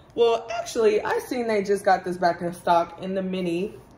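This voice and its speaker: Noticeable background noise surrounds the recording. A woman speaks at a medium pitch and moderate pace. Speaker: lifestyle YouTuber. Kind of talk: unboxing vlog.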